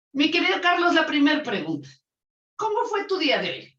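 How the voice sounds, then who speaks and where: A woman speaks loudly with audible room echo. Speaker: lawyer and interview host. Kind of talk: interview.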